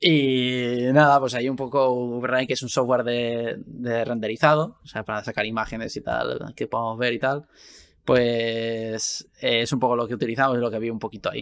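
A man speaks with a medium pitch. His intonation is monotone and flat. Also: moderate pace, quiet background. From Spain, Valencia; Spain. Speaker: video game VFX artist and podcast host; podcast guest host. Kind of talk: casual chat. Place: home room.

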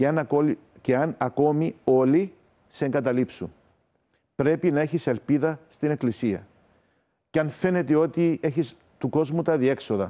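A man speaks at a fairly slow pace in a dark, mellow tone and a fairly high pitch, with very even loudness, ordinary pitch variation, and long, frequent pauses. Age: 50s. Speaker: Orthodox metropolitan bishop. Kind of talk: morning TV interview; interview answer. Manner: halting. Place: studio.

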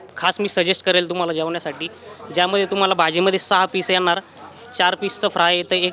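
Over noticeable background noise, a man with a high pitch uses a raised, projected voice and monotone, flat intonation. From Yeola, Nashik district, Maharashtra. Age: 20s. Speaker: restaurant co-owner. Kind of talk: interview.

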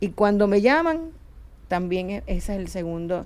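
The intonation is lively. The speaker is a woman. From Puerto Rico. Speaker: HR consulting firm head; guest. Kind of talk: panel discussion. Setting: radio studio. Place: studio. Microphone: studio mic.

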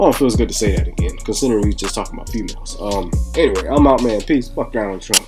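A man talking at a very fast pace over clear background music. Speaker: reaction video host. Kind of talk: casual reaction commentary. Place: home room. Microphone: webcam.

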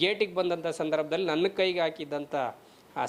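A man speaks with an unremarkable speaking voice. His pitch varies in an ordinary way. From Karnataka, Chitradurga district. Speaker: journalist. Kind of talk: video commentary.

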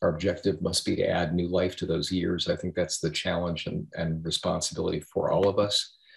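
A man talks at a fairly quick pace with hardly any pauses against a quiet background. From United States. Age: 60s. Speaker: aging think tank chair; speaker. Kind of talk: moderated discussion. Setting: video call. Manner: halting, many repetitions. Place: home room. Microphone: webcam.

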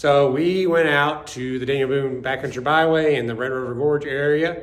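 A man speaks at a moderate pace with ordinary pitch variation. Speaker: off-road channel host. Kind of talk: casual vlog chat. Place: garage. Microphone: phone near.

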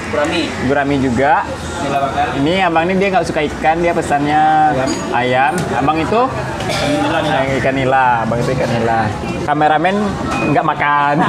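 Loud background noise sits behind a man speaking at a moderate pace. His pitch varies in an ordinary way, and he leaves long, frequent pauses. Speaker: food vlogger. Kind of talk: casual vlog chat. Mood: cheerful, joking. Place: cafe.

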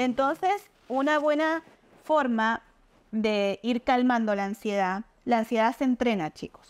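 This woman talks at a very slow pace. Her voice is high-pitched, and her intonation is lively. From Argentina, Mendoza/San Juan; Argentina. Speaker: nutritionist; guest. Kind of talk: interview, explanatory. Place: home room.

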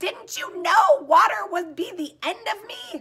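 The speaker is putting on a character voice. Its pitch is extremely high, and it proceeds at a fairly slow pace. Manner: wailing, despairing.

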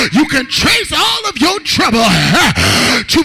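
Against noticeable background noise, a man talks at a very slow pace. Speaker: guest preacher. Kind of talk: rousing call-and-response Pentecostal sermon. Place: church. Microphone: handheld.

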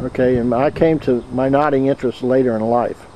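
With noticeable background noise, a man talks at a moderate pace and a medium pitch. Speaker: interviewer, knot guild member. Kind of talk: interview questions.

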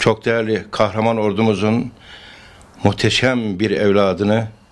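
A man's fairly slow, monotone delivery with flat intonation. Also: fairly low pitch for a man. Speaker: mayor. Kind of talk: public statement. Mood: proud, praising. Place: home room. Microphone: handheld.

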